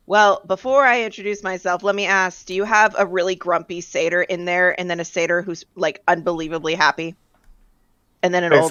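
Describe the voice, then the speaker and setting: In a raspy, put-on character voice of medium pitch, a woman speaks at a fairly quick pace with fairly even intonation. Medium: actual play. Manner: casual, chatty.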